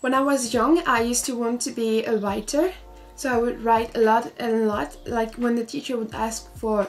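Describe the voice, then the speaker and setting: Music plays in the background as the speaker, with a French accent, talks at a moderate pace with ordinary pitch variation. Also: woman. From France. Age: 20s. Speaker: architecture student and vlogger. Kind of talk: casual vlog monologue. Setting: home in France.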